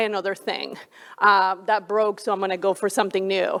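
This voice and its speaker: A woman talks at a moderate pace with a Colombian accent. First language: Spanish. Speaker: flight director. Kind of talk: panel discussion.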